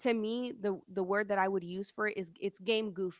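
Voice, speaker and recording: A woman with an American accent speaks at a moderate pace and medium pitch, her intonation monotone and flat. The sound is dry and close with no echo, in a very clean recording with a silent background. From Sacramento area, California. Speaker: podcaster and mother. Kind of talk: interview.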